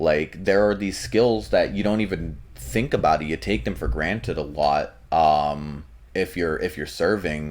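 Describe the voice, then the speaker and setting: A man with a very deep, low voice and vocal fry talks at a fairly slow pace with lively intonation and hardly any pauses. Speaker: navy serviceman. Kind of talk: interview. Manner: clear, well-enunciated; hesitant fillers.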